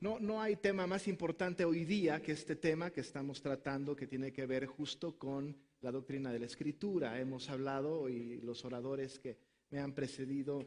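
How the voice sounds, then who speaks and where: A man with a Mexican accent, fairly high pitch, ordinary pitch variation and a moderate pace. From Mexico. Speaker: pastor. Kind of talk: conference talk.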